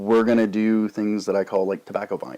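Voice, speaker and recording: At a moderate pace, a man is speaking. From Canada. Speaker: YouTube pipe tobacco reviewer. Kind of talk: casual vlog monologue. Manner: rambling, filler-heavy.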